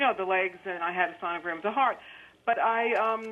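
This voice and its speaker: Speaking fairly quickly, a woman with a New York accent uses a fairly high pitch. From New York City, Queens. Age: 60s. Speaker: caller. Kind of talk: call-in question. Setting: phone call.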